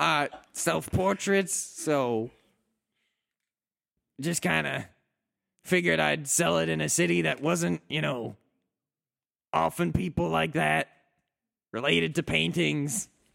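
Using a put-on character voice, a man speaks raspily at medium pitch and a fairly slow pace, with very wide pitch swings and long, frequent pauses. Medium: actual play. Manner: evasive, stammering, rambling.

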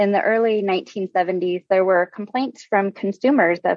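A woman's medium-pitched voice, an unremarkable speaking voice with an American accent, at a fairly slow pace. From Nebraska. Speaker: blindness rehabilitation center supervisor. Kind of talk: radio interview.

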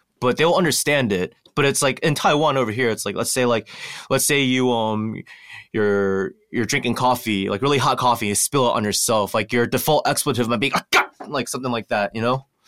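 Speaking fairly quickly, a man has an unremarkable speaking voice of medium pitch and ordinary pitch variation. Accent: American. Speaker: alternative military service member. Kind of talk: casual chat. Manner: many filler words.

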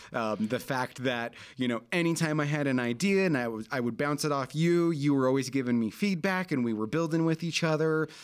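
Heard in a very clean recording with a silent background, a man has a plain, everyday voice. He speaks at a moderate pace and medium pitch with ordinary pitch variation. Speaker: podcast co-host. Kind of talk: casual chat.

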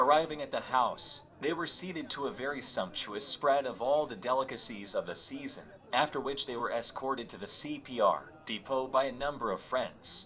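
Amid noticeable background noise, a man talks at a moderate pace in a fairly high pitch. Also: ordinary pitch variation. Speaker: reader of historical text. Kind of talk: reading aloud.

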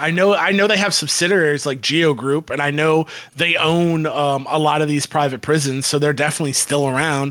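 With an American accent, a man has a plain, everyday voice at a fairly high pitch. He keeps a moderate pace and fairly even intonation. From Florida, Tampa Bay area. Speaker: podcast co-host. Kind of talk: casual chat.

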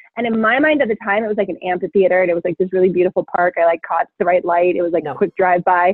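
Hardly pausing at all, the speech races at a very fast pace. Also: woman, medium pitch for a woman, ordinary pitch variation. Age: 20s. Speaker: travel worker, guest. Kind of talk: casual chat.

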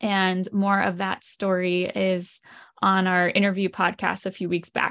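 Against a quiet background, a woman speaks with an American accent. She has a plain, everyday voice at a medium pitch. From Lancaster, Pennsylvania. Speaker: ministry community leader. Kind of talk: casual chat.

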